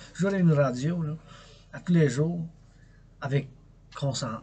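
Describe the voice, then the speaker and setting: A somewhat breathy voice at a fairly slow pace, with a Quebec accent. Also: man. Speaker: poet, dancer, artist. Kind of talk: casual talk to camera. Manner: passionate, rambling.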